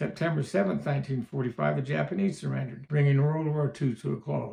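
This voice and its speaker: Speech in a western US accent moves at a fairly quick pace with ordinary pitch variation. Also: man. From Utah. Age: 70s. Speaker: storyteller. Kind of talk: reading aloud.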